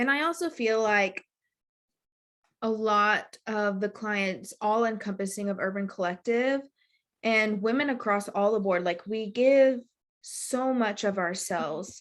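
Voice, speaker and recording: A woman's fairly high voice with a slight West Texas accent, a fairly slow pace and ordinary pitch variation, in a very clean recording with a silent background. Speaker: mindfulness coach. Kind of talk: casual podcast conversation.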